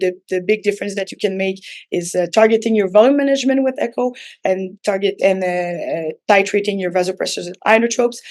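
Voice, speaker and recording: A woman talks at a fairly quick pace with a Quebec accent. Her pitch sits in the medium range, with ordinary variation. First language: French. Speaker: physician. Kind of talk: lecture. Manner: halting, many fillers.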